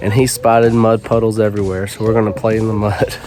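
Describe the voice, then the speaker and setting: A man talks over noticeable background noise. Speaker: homestead family vlogger, woodworker. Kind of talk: casual vlog narration. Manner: casual, conversational.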